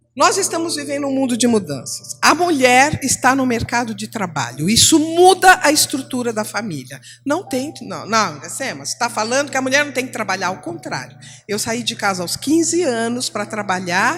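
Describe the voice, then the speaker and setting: Music plays in the background as a woman talks at a moderate pace with hardly any pauses. Her fairly high voice swings very widely in pitch. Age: 60s. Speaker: retired teacher, church speaker. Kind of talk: church teaching talk. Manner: animated.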